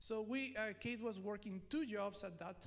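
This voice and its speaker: At a moderate pace, a man with a Mexican accent talks in a high pitch, with audible room echo around him. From Mexico. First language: Spanish. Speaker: preacher. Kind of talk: sermon.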